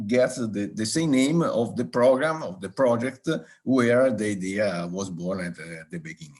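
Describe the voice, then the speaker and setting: Fairly slow speech with very wide pitch swings and an Italian accent. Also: man. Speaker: regional government soil expert. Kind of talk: live online round table talk. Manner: halting, many fillers.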